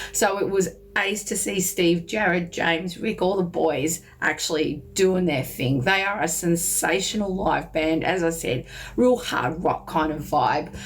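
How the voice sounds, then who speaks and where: In an Australian accent, a woman with a fairly low voice speaks at a fairly slow pace with ordinary pitch variation. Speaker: music reviewer. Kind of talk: casual vlog review. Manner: animated.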